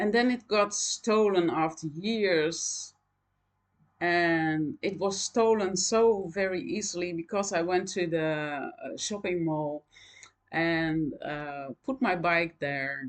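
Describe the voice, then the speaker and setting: A woman with a Dutch accent, a medium pitch, lively intonation and a very slow pace. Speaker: knitting vlogger. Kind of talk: casual chat. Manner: halting, many fillers.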